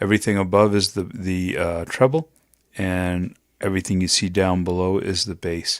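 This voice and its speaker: A man at a fairly low pitch and moderate pace, in a very clean recording with a silent background. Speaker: voiceover tutorial creator. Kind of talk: tutorial. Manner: casual, conversational.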